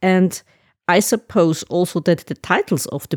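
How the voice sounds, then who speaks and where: A woman's dark, mellow voice at a medium pitch with a German accent, fairly slow, in a very clean recording with a silent background and a dry, close sound with no echo. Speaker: podcast host. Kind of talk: interview.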